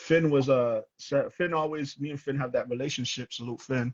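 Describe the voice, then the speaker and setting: A man with a strong Toronto accent, fairly high pitch, fairly even intonation and a moderate pace. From Toronto, Canada. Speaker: rapper. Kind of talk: casual chat.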